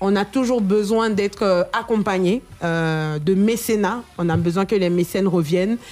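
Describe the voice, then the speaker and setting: The voice is a plain, everyday voice with ordinary pitch variation. It moves at a fairly slow pace with very even loudness. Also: woman, medium pitch for a woman. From Côte d'Ivoire. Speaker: singer. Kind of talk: radio interview.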